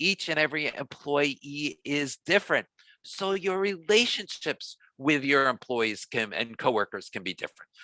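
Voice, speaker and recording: On a very clean recording with a silent background, a man with a slight New York accent and a bright, sharp tone makes very wide pitch swings in a dry, close sound with no echo. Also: fairly high pitch for a man, moderate pace. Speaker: diversity trainer. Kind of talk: training workshop.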